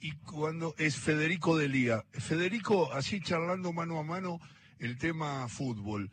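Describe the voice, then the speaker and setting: A man with a Rioplatense accent at a moderate pace, his pitch swinging very widely. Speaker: radio host. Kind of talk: interview. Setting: cafe.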